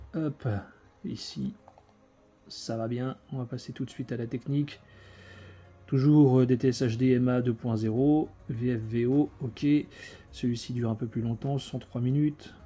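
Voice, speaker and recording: The tone is dark and mellow, somewhat breathy, with fairly even intonation. Delivery is fairly slow, marked by long, frequent pauses. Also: man, medium pitch for a man. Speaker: video collector reviewing film editions. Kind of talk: unboxing video. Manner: casual, hesitant with many fillers.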